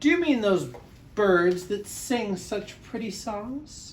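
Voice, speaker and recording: A loud, put-on character voice at a fairly high pitch speaks at a very slow pace over clear background noise. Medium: read story. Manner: loud, hearty.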